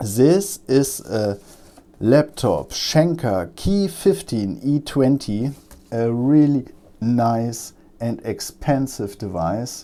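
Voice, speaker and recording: Speaking at a very slow pace with a German accent, a man has a medium pitch. His tone is dark and mellow, and his intonation is lively. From Germany. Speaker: electronics repair technician. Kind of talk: tutorial. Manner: halting, many fillers.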